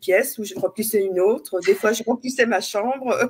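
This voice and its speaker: A woman with a medium pitch talks at a fairly quick pace. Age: 60s. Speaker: interviewee, coaching client. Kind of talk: interview, personal testimony. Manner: halting, with many hesitations.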